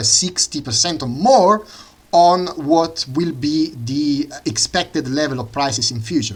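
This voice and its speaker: A fairly high-pitched man at a fairly slow pace. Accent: Italian. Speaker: economics student and channel host. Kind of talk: lecture. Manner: halting, many fillers.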